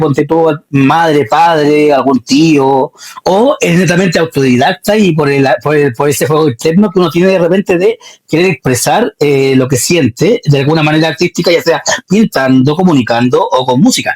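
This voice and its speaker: Speaking at a moderate pace with a Chilean accent, a man uses lively intonation and very even loudness at a fairly high pitch, heard in a dry, close sound with no echo. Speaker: interview show host. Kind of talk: interview.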